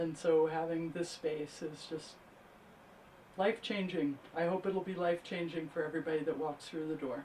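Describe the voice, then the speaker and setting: A woman speaks at a moderate pace with a fairly low pitch. Her tone is dark and mellow, and her intonation stays fairly even. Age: 60s. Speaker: event attendee. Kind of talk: interview. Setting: grand opening event.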